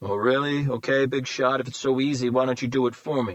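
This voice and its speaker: A man puts on a character voice at medium pitch, moving at a fairly quick pace. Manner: challenging, taunting.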